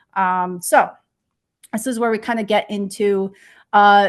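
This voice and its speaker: A woman's medium-pitched voice comes through against a quiet background. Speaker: research engineer. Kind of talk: conference talk. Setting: online presentation. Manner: hesitant, many fillers.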